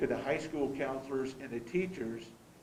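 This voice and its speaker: A man talks with a fairly high voice, and the room around him echoes audibly. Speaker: school board member. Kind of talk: board meeting discussion. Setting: boardroom meeting, also streamed online. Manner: loud; halting, with many repeated words.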